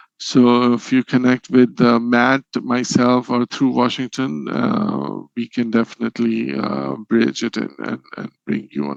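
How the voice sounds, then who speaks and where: The sound is dry and close, without any echo. A man delivers his words fairly slowly. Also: hardly any pauses. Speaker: presenter on regulatory inspection. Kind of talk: Q&A after a webinar presentation. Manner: halting, many fillers.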